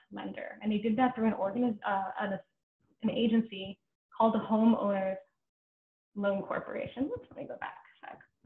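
With audible room echo but a quiet background, a woman talks in a fairly high pitch and fairly even intonation. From New York City (Brooklyn); New York City. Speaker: history professor. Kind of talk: lecture. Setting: video call. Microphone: webcam.

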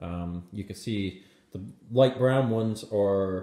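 A man speaks in a dark, mellow tone at a fairly low pitch. The background is quiet, though the room echo is audible. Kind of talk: casual explanatory commentary. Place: garage. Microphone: phone near.

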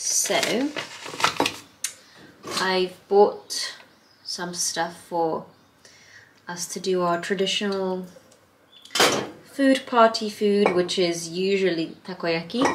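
A woman talks very slowly while heavy noise fills the background. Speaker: vlogger. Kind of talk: casual vlog chat. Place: kitchen. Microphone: phone near.

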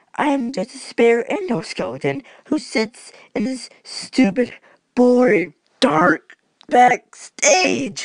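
The voice is a put-on character voice at fairly high pitch. It moves at a very slow pace. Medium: role play. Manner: melancholy.

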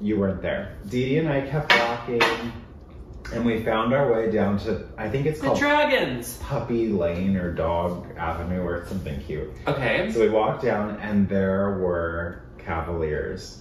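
A man's fairly low voice with light background noise and audible room echo. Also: fairly slow pace. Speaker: family vlogger. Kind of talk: casual storytelling. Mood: playful, joking. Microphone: camera far.

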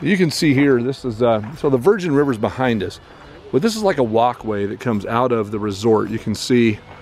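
A man speaks at a fairly quick pace with ordinary pitch variation, his voice dry with no echo over light background noise. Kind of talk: casual exploration commentary. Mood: cautious, slightly nervous. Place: open country. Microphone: phone near.

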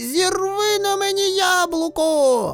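A put-on character voice speaks at a very slow pace over faint background music. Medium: read story. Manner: excited, loud.

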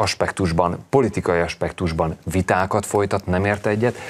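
His voice is very deep and low. The man keeps a moderate pace. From Hungary. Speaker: talk show guest. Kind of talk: studio discussion. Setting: TV studio. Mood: earnest, mildly indignant. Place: studio. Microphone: lapel.

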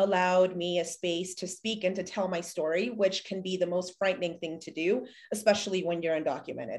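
A woman's voice at a moderate pace, fairly even in intonation, over a quiet background. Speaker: community advocate. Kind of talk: panel discussion. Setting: video call. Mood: earnest, reflective. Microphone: video call.

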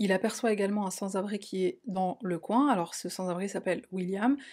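A woman speaks at a fairly quick pace in a dark, mellow tone. Her pitch varies in an ordinary way against a quiet background. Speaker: true crime youtuber. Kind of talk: true crime narration. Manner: casual, with fillers. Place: home room.

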